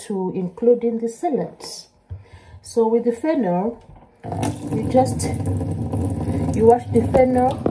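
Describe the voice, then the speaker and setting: A woman's pitch varies in an ordinary way against light background noise. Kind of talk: tutorial. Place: kitchen. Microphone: phone near.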